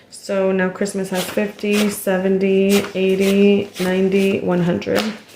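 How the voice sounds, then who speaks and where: Over noticeable background noise, a woman speaks at a fairly slow pace with a medium pitch and a monotone, flat intonation. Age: 20s. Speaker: cash budgeter. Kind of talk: cash envelope stuffing video narration.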